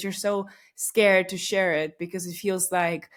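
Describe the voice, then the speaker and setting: This woman speaks with a Russian accent at a medium pitch and with fairly even intonation. The recording is very clean, with a silent background. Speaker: podcast host. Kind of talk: casual monologue. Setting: recording at home late at night. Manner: conversational with many fillers.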